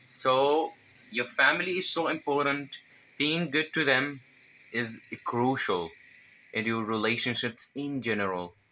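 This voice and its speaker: A man with a Levantine Arabic accent speaks at a fairly slow pace in a medium pitch, his bright, sharp tone carrying lively intonation and long, frequent pauses. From Syria. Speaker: self-improvement vlogger. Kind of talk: casual advice vlog. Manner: halting, with fillers and self-corrections.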